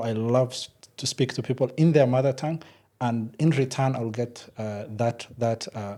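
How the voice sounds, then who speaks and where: A man with a Somali accent speaks at a medium pitch and a moderate pace. His tone is dark and mellow. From Kenya, Nairobi. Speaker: software engineer and company founder. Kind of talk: podcast interview. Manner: halting, many fillers.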